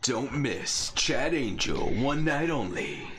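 A man puts on a character voice at a very slow pace. Background noise is clearly audible. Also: fairly high pitch for a man. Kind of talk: announcer voice. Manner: showy, promotional.

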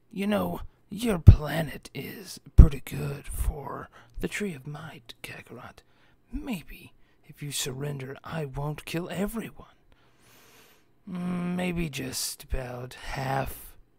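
A man speaks in a put-on character voice. His pitch is fairly high and his pace very slow. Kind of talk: amateur voice impression. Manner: arrogant, mocking.

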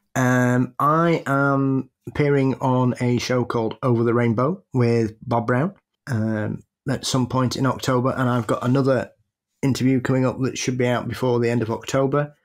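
In a very clean recording with a silent background, a man with a Sheffield accent talks at a moderate pace and medium pitch, his loudness very even and his intonation fairly even. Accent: British, Sheffield. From Sheffield, England. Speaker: podcast co-host.

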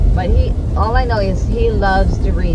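A woman's voice over clear music in the background. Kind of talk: casual vlog chat. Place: car. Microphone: phone near.

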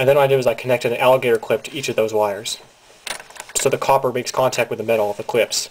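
With light background noise behind him, a man talks at a very fast pace. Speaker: hobbyist demonstrator. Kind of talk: tutorial. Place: home room.

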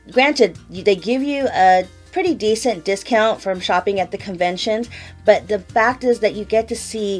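Faint music sits in the background. A woman talks at a moderate pace with ordinary pitch variation. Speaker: beauty vlogger. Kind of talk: casual vlog chat. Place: home room.

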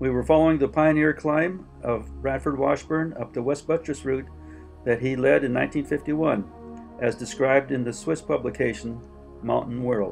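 Music in the background behind a man talking at a moderate pace. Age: 80s+. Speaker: mountaineer. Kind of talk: home movie narration. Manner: halting, many filler sounds.

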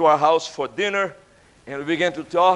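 This man has a high pitch and fairly even intonation. He talks at a moderate pace. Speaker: preacher. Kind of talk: sermon. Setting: church. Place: church. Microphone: podium.

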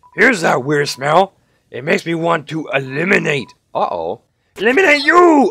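Doing a put-on character voice, a man speaks high for a man at a moderate pace. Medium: game stream. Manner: suspicious, then wonderstruck.

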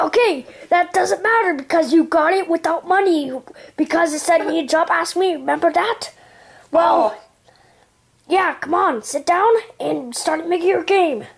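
An extremely high-pitched cartoonish character voice broken by long, frequent pauses. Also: moderate pace. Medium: puppet show. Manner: pushy, impatient; curt when firing.

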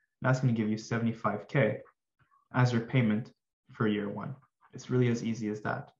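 The tone is calm. The voice sounds somewhat breathy. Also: man. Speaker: finance tutor. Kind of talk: tutorial.

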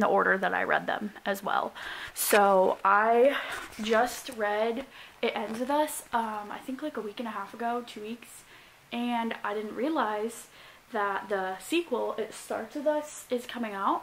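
Light background noise sits behind a woman speaking at a fairly slow pace. Her pitch varies in an ordinary way. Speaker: college student vlogger. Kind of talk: casual vlog chat. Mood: cheerful, chatty. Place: home room. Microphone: phone near.

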